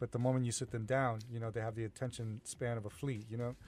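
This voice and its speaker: The delivery is very fast with monotone, flat intonation. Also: man. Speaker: freestyle music producer. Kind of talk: radio interview. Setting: radio studio. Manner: calm.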